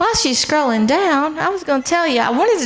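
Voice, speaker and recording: A loud woman's voice over noticeable background noise. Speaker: college transfer program director. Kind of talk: informational presentation.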